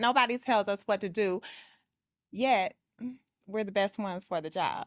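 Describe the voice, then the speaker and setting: With an American accent, a woman speaks at a moderate pace in a normal speaking voice of medium pitch. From US South, Atlanta, Georgia. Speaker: real estate agent. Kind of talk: casual chat.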